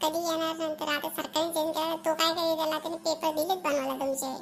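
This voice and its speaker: A woman speaks in a cartoonish character voice at an extremely high pitch, with flat, monotone intonation. Her pace is fairly slow, and background noise is clearly audible. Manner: argumentative.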